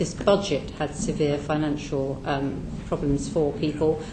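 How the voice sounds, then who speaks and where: Amid noticeable background noise and audible room echo, a woman speaks with a British accent. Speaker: charity advice organisation representative. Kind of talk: parliamentary committee evidence. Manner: soft-spoken.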